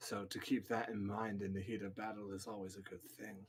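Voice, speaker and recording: A man speaks here. He uses a put-on character voice. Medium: actual play. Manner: calm, measured.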